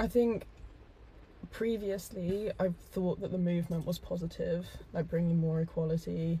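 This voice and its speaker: A woman with a fairly low, somewhat breathy voice speaks at a moderate pace with fairly even intonation. She leaves long, frequent pauses. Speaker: host's girlfriend. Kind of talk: casual chat on live stream.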